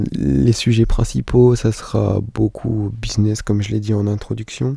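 Speaking at a fairly slow pace, a man leaves hardly any pauses. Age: 20s. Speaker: podcaster. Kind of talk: casual monologue. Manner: halting, many fillers.

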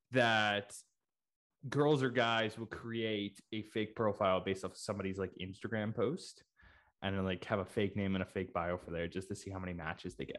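On a very clean recording with a silent background, a man in a normal speaking voice talks at a moderate pace and a fairly low pitch. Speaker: podcast host. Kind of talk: casual chat.

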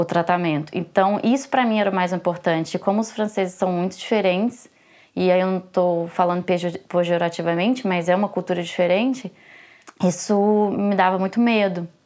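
On a very clean recording with a silent background, a woman with an ordinary speaking voice talks at a medium pitch and moderate pace, her intonation fairly even. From Brazil, Belo Horizonte. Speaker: lawyer and graduate student, mother of twins. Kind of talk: interview.

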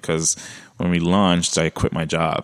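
A man speaks with a Brooklyn accent. His pitch is very deep and low, with fairly even intonation. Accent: Brooklyn accent, T's sound like D's. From Brooklyn, New York. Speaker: podcast guest, entrepreneur.

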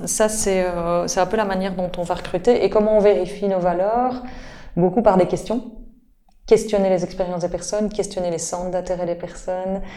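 In a Belgian accent, a woman with a medium-pitched voice and a dark, mellow tone speaks monotone and flat at a moderate pace, with long, frequent pauses. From Belgium, Liège. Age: 40s. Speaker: supermarket co-founder. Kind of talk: interview. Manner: halting, with frequent repetitions.

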